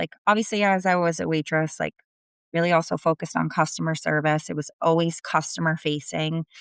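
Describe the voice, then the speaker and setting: A woman with a strong New Jersey accent talks at a fairly quick pace in a very deep, low pitch with fairly even intonation, on a very clean recording over a silent background. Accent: thick New Jersey. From New Jersey, US. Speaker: sales executive. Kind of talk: interview.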